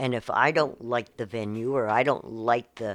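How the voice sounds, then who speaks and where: Over a silent background in a very clean recording, a woman with a very deep, low pitch speaks at a fairly slow pace. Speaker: retired show booker, host's mother. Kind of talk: casual chat.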